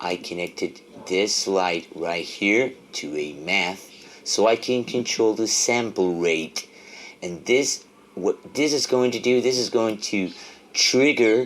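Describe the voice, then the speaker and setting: A man with a fairly low voice speaks at a very slow pace with lively intonation. Noticeable background noise sits behind him. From Argentina. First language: Spanish. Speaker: music tech tutorial creator. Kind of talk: tutorial. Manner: halting.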